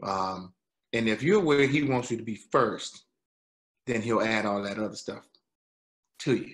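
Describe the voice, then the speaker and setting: Speaking at a fairly slow pace with long, frequent pauses, a man uses ordinary pitch variation. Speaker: actor and singer. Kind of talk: interview. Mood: grateful, earnest. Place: home room. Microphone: video call.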